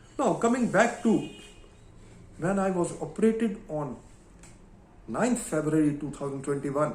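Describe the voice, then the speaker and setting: A man with a high pitch and lively intonation speaks at a moderate pace, leaving long, frequent pauses, amid audible room echo. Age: 70s. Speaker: astrologer. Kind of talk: monologue. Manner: halting.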